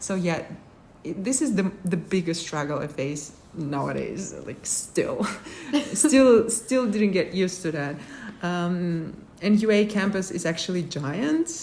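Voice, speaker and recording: Speaking with a Kazakh accent, a woman uses a medium pitch and lively intonation at a fairly slow pace. Audible room echo surrounds her voice. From Kazakhstan. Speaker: international graduate student. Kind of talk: interview. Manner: halting, with many fillers.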